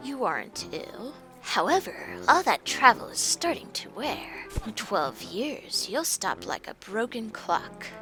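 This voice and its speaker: Over clear music in the background, a female-sounding put-on character voice moves at a fairly slow pace, fairly high in pitch, with very wide pitch swings. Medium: game stream.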